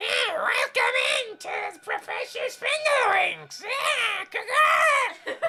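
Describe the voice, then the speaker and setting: Shouting in a put-on character voice at an extremely high pitch, the speaker goes very slowly with hardly any pauses. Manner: welcoming, squawky.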